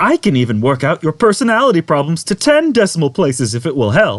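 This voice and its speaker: A put-on character voice rattles along at a very fast pace against a quiet background. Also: man, fairly high pitch for a man. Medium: read story. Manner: bubbly, gushing, overfriendly.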